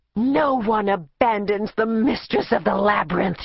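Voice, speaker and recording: A female-sounding, put-on character voice with medium pitch rages in a furious tone at a moderate pace. The words come out hissing. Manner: hissing, furious.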